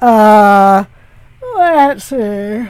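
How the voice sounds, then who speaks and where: A woman puts on a character voice, pitched fairly high. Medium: read story. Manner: sleepy, slow, grumbling.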